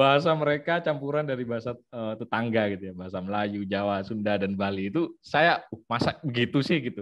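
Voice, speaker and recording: A man's normal speaking voice at a medium pitch, fairly quick and lively in intonation, with hardly any pauses. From Situbondo, East Java, Indonesia. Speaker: ethnomusicologist researcher. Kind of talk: online lecture with slides.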